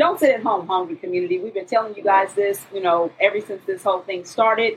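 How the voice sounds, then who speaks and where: A woman speaks with an American accent and a normal speaking voice. Her medium pitch shows ordinary variation. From Tulsa, Oklahoma. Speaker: community radio co-host. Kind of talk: casual chat. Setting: studio.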